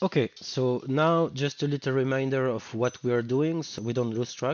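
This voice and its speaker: A man's medium-pitched voice in a French accent, at a fairly slow pace. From France. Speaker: web developer. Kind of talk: screen-recorded coding tutorial. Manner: casual, hesitant.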